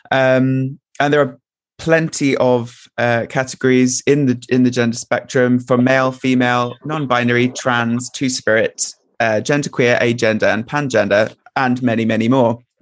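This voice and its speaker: The voice has monotone, flat intonation and very even loudness, with a dry, close sound and no echo. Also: man, medium pitch for a man, moderate pace. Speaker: drag performer. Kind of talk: casual chat. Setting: video call.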